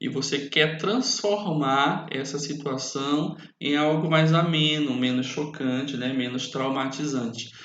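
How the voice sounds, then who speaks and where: Amid audible room echo, a man with a fairly high pitch speaks at a very slow pace. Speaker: teacher. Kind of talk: lecture.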